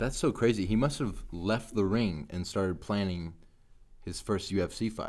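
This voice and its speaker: An ordinary speaking voice at a moderate pace. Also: man. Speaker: MMA podcast co-host. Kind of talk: casual chat. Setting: studio.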